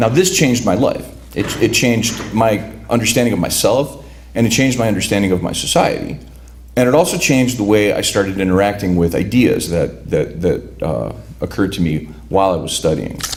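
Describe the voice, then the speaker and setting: A man with a Chicago accent, fairly low pitch, very wide pitch swings and a fairly quick pace, amid audible room echo and noticeable background noise. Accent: Chicago American English. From Cicero, Illinois (Chicago area), Lithuanian immigrant community. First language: Lithuanian. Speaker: writer. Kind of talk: talk introducing a reading. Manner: halting, many repeated words.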